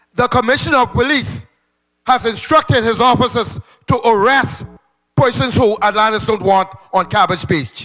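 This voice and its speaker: Music plays in the background as a man speaks in a raised, projected voice. His pitch is extremely high, with ordinary variation. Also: moderate pace, very even loudness. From Bahamas. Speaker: trade union representative. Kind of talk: town meeting comment. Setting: public meeting. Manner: impassioned.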